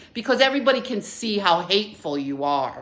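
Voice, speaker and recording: Amid noticeable background noise, a woman speaks fairly quickly with very wide pitch swings. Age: 60s. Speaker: vlogger. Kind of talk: personal rant to camera. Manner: halting, many fillers.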